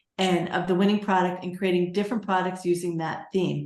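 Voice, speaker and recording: There is audible room echo. A woman speaks at medium pitch with fairly even intonation. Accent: New York. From New York. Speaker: Etsy seller and coach. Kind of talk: webinar tutorial.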